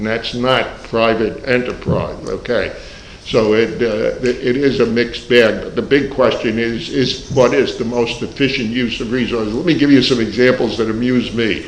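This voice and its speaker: Monotone, flat intonation in an American accent at a moderate pace, with audible room echo and noticeable background noise. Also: man, medium pitch for a man, hardly any pauses. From New York. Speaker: economics professor. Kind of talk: panel discussion.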